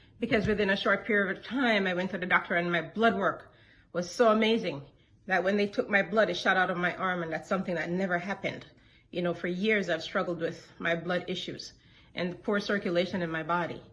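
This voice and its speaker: A woman speaks in a plain, everyday voice at medium pitch, moving at a fairly quick pace with fairly even intonation. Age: 60s. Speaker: product testimonial giver. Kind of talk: testimony.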